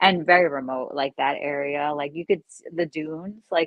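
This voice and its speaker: At a moderate pace, a woman with a fairly low pitch speaks in a Long Island accent. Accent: Long Island accent, slight slur. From eastern Long Island, New York. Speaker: live streamer. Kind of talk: casual chat. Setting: live stream. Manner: halting, filler-heavy.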